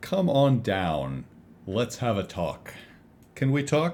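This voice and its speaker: A man puts on a booming character voice at a medium pitch. He goes at a very slow pace, with very wide pitch swings. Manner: contemptuous.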